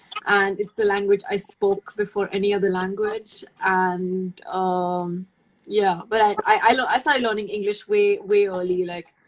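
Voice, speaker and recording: Speaking at a fairly slow pace, a woman with an Indian accent keeps a medium pitch and fairly even intonation. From India, New Delhi. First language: Hindi. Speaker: makeup artist. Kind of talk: casual chat. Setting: video call.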